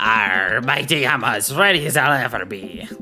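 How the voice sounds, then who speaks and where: A man uses a put-on character voice at medium pitch and a moderate pace. Clear music sounds in the background. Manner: pirate-style speech.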